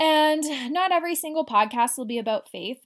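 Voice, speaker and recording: A woman with a Canadian accent speaks at a moderate pace with lively intonation in a very clean recording with a silent background. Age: 20s. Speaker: podcast host. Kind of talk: solo podcast monologue. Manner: casual, giggly with filler ums.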